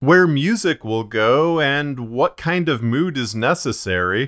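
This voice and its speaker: In a very clean recording with a silent background, a man speaks very slowly at a fairly high pitch with very wide pitch swings. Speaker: fiction podcast narrator. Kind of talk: video tutorial. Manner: casual, explanatory.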